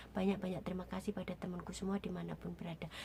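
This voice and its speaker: A woman speaks at a very fast pace. Her intonation is monotone and flat. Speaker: domestic worker vlogger. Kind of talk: casual vlog. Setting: in her room.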